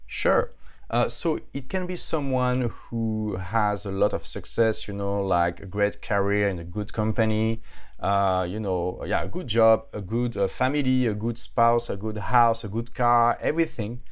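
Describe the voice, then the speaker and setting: In a strong French accent, a man speaks at medium pitch and a fairly slow pace with ordinary pitch variation. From France. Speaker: author and entrepreneur. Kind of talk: casual interview. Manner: halting.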